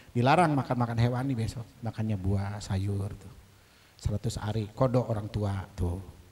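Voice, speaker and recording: A man's somewhat breathy voice at a fairly low pitch. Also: ordinary pitch variation, moderate pace. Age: 60s. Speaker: religious leader of a study assembly. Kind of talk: speech at an inauguration event. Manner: animated.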